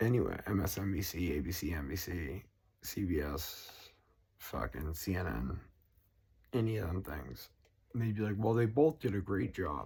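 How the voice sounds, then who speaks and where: With a Boston accent, a man speaks at a moderate pace in a very deep, low pitch with vocal fry and a dark, mellow tone, his pitch swinging very widely between long, frequent pauses. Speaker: political vlogger. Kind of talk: casual rant. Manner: animated.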